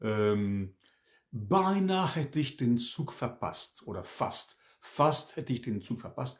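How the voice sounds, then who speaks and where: A man speaks very slowly against a quiet background. His somewhat breathy voice has lively intonation. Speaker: French teacher. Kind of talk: language lesson. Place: home room. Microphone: webcam.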